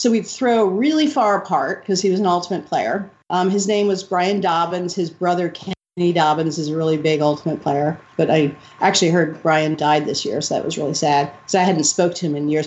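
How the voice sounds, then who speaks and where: A woman's fairly low-pitched, normal speaking voice at a fairly quick pace, with ordinary pitch variation. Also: hardly any pauses. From New York City, Upper West Side. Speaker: retired freestyle frisbee champion. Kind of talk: interview. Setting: call.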